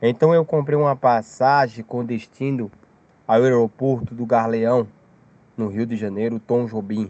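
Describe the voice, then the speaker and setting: His voice is medium in pitch with a dark, mellow tone. The man moves at a fairly slow pace with fairly even intonation. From Brazil, Paraíba (Campina Grande). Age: 30s. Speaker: storyteller sharing a UFO experience. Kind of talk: personal testimony.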